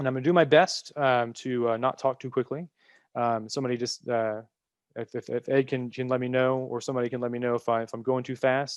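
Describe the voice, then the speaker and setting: Speaking very fast with an American accent, a man keeps his intonation flat and monotone. The sound is dry and close, without echo. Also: medium pitch for a man. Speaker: copyright legal professional, webinar speaker. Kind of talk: lecture. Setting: webinar. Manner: many fillers, hesitant.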